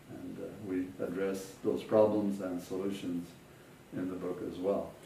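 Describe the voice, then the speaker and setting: With an American accent, a man speaks at a fairly slow pace in a very deep, low pitch. His intonation is monotone and flat, and the room echo is audible. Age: 70s. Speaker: physicist, author. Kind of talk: interview. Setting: at home. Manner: hesitant, with fillers.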